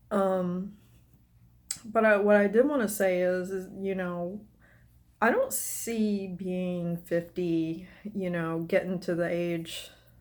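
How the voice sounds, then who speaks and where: Her medium-pitched voice moves at a very slow pace with long, frequent pauses. The woman's intonation stays fairly even. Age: 40s. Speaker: vlogger. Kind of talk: personal vlog monologue. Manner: halting.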